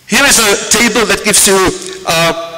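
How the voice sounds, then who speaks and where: A man talks at a high pitch. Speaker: university lecturer. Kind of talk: lecture. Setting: stage with audience. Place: hall. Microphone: podium.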